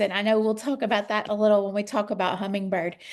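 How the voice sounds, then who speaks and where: Her pitch fairly high, a woman talks with a strong Southern US accent. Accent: Southern US, thick. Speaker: children's author. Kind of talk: interview.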